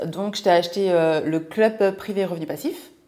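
In a plain, everyday voice, a woman with a fairly low pitch talks at a fairly slow pace with lively intonation. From France, Seine-et-Marne (Martinican family). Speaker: lifestyle and money coach, podcast co-host. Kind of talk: casual chat.

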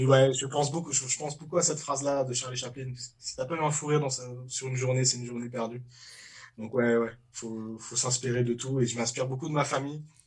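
A man's somewhat breathy, medium-pitched voice, monotone and flat in intonation, at a fairly quick pace. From Paris suburbs, France. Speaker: comedian. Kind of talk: casual chat. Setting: studio.

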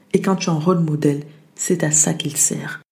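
A woman's voice with fairly even intonation. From France, arrived from the US at age 8. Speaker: podcast host and motivation coach. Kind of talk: motivational monologue.

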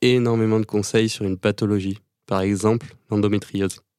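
There is a dry, close sound with no echo as a man with an ordinary speaking voice talks at a fairly low pitch with fairly even intonation. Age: 20s. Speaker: pharmacy student, podcast host. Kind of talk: scripted narration.

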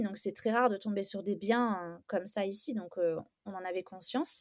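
The recording is very clean with a silent background. A woman talks at a medium pitch with ordinary pitch variation. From southern France, Istres near Aix-en-Provence. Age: 30s. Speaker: home renovator. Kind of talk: casual interview. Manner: hesitant, many fillers.

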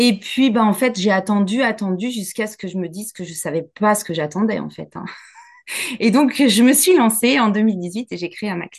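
A woman talks at a moderate pace in a normal speaking voice, with a medium pitch and ordinary pitch variation. Her loudness swings a lot. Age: 40s. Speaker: business coach. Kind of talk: casual interview chat.

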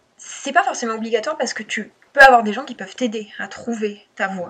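Moderate pace and ordinary pitch variation, over noticeable background noise. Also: woman. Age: 20s. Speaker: copywriter. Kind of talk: interview.

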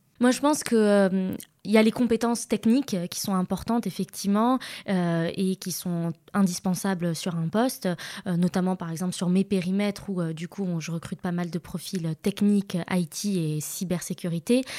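A woman speaks with a dark, mellow tone and ordinary pitch variation. The recording is very clean with a silent background, and the sound is dry and close with no echo. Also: medium pitch for a woman, moderate pace. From Morocco, Casablanca. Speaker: HR manager. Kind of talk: interview conversation.

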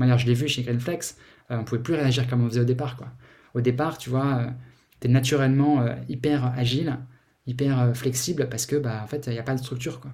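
A man's somewhat breathy, dark, mellow voice at a medium pitch, fairly quick and monotone, with audible room echo. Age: 40s. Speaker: startup founder and CEO. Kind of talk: interview. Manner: halting, many repetitions and fillers.

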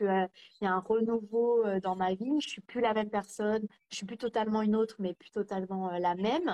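A woman with a plain, everyday voice speaks at a fairly high pitch with ordinary pitch variation. The recording sounds dry and close, with no echo. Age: 30s. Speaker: cancer survivor and author. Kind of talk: casual interview. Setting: live video stream.

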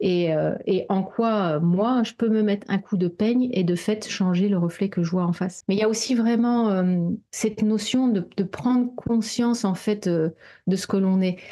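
A woman with a normal speaking voice talks at a fairly slow pace, with hardly any pauses. Her medium pitch shows ordinary variation, and her loudness stays very even. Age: 40s. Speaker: therapist and coach. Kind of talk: casual chat.

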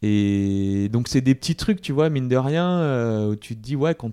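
Dry and close with no echo over a quiet background, a man speaks at a fairly slow pace in a dark, mellow tone. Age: 30s. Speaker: entrepreneur. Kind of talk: casual chat. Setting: office premises in Paris.

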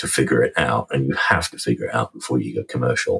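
The recording of a man with an English accent has a dry, close sound with no echo. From England. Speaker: lithium company executive. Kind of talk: interview.

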